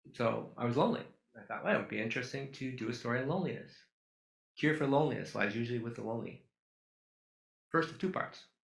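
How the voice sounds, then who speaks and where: Over audible room echo, a man with a medium pitch and vocal fry talks at a very fast pace in a bright, sharp tone with lively intonation. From Duluth, Minnesota, US Midwest. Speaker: photographer. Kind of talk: public talk with slides. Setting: auditorium with audience.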